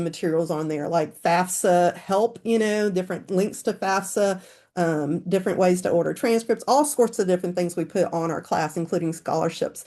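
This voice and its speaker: Her voice has a dark, mellow tone at a medium pitch, with ordinary pitch variation. The woman is heard against a quiet background. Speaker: school counselor presenting. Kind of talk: webinar presentation. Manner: fast.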